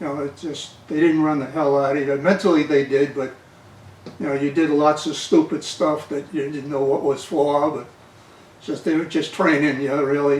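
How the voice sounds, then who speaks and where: Noticeable background noise accompanies a man with a Boston accent who speaks at a moderate pace and a fairly high pitch, his intonation monotone and flat. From Massachusetts, Somerville (Boston area). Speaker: navy veteran. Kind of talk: oral history interview. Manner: halting.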